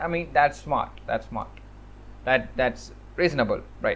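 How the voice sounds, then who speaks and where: Speaking with a non-native accent, a man keeps to a moderate pace. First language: not English. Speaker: programming YouTuber. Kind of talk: casual commentary rant. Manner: animated; halting.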